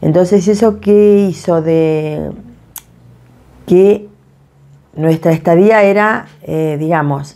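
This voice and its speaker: The voice has a dark, mellow tone and an Argentine accent, with ordinary pitch variation. Delivery is very slow, with long, frequent pauses. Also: woman, fairly low pitch for a woman. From Patagonia, Argentina (Esquel and Tecka); Patagonia, Argentina. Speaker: community association president. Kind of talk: interview testimony. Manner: hesitant, many fillers. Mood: warm, reflective. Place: kitchen.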